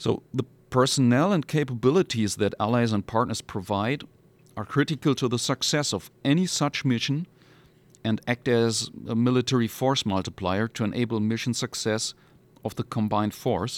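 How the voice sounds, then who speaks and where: A man with a German accent speaks at a moderate pace with medium pitch and ordinary pitch variation. The very clean recording has a silent background and a dry, close sound with no echo. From Hamburg, northern Germany. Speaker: military lawyer. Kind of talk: interview.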